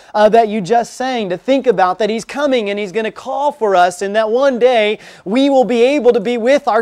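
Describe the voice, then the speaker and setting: A man's extremely high voice at a moderate pace, ordinary pitch variation, quiet background. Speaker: preacher. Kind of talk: sermon. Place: church. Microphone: podium.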